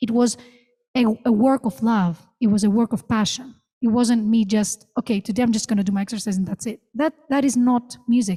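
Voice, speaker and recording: The voice is somewhat breathy with a dark, mellow tone, moving at a fairly quick pace with long, frequent pauses, in a dry, close sound with no echo. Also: woman, fairly high pitch for a woman, ordinary pitch variation. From Greece. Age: 30s. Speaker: vocalist and music professor. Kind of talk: masterclass Q&A. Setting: theater with audience.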